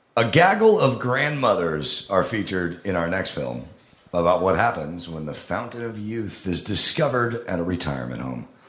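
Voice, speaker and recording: Against noticeable background noise, a man with a very deep, low voice speaks at a moderate pace with very wide pitch swings. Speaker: podcast co-host. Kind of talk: live comedy podcast. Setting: stage with audience.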